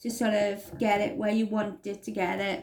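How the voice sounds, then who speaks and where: Through noticeable background noise, a woman with a Welsh accent speaks at a fairly high pitch. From Wales. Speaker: crafting tutorial maker. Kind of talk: tutorial.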